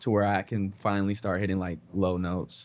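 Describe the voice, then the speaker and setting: A man's fairly low voice in an American accent, monotone and flat, on a very clean recording with a silent background. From US West Coast, Bay Area. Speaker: musician, singer and producer. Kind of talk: casual interview. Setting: in-person interview, Los Angeles. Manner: casual, many fillers.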